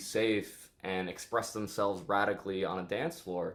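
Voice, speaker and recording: This is a man with a New York accent. His pitch is fairly low. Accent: New York American. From New York City. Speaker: DJ and electronic music producer. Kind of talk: interview.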